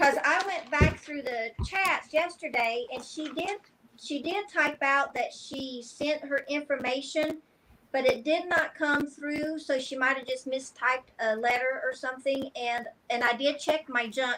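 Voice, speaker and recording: This woman's raised, projected voice has a high pitch and a bright, sharp tone. She speaks at a fairly slow pace with ordinary pitch variation. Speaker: guest seller on a live sale stream. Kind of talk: live online sale chat. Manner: loud.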